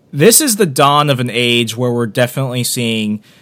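This is a man with a plain, everyday voice. His pitch is medium and his pace moderate. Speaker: podcast host. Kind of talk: radio dj patter, upbeat pitch-style host banter.

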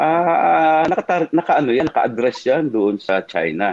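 Over a dry, close sound with no echo, a man speaks at a very slow pace. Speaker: former congressman and lawyer, political commentator. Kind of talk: political talk show discussion. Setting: live-streamed online show. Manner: halting, many fillers.

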